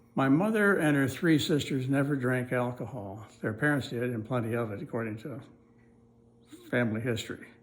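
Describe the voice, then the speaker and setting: Audible room echo surrounds a man at medium pitch. He talks at a fairly quick pace with ordinary pitch variation. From US Midwest, northeast Iowa. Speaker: oral history narrator. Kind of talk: oral history recollection. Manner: halting, with frequent fillers.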